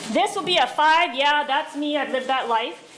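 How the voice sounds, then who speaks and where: A woman talks loudly at a fairly quick pace in a high voice, with noticeable background noise and audible room echo. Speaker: school district administrator. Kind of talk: conference talk. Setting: stage with live audience. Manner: animated.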